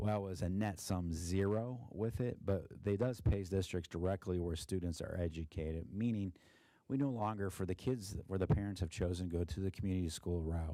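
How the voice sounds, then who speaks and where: A man speaks with a very deep, low pitch at a fairly quick pace. The recording is very clean, with a silent background. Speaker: school district treasurer. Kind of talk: financial report presentation. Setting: board meeting. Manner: monotone; halting, many fillers.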